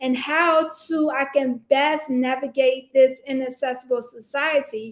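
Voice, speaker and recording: A woman's high-pitched voice. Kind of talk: personal vlog monologue. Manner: slow; halting, many fillers.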